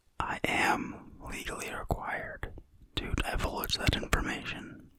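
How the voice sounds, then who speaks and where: A man whispers breathily in a put-on character voice at a fairly slow pace. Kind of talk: ASMR roleplay.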